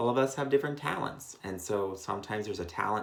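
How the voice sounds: The voice here is a natural reading voice.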